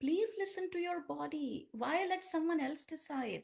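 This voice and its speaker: A woman with an Indian accent at a moderate pace. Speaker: yoga teacher. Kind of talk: guided practice instruction.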